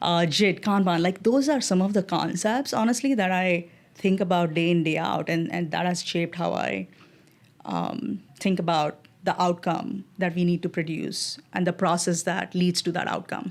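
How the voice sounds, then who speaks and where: A woman speaks with vocal fry at a fairly low pitch with ordinary pitch variation. The recording is very clean, with a silent background. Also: moderate pace. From India, Mumbai. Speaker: design executive. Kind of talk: interview.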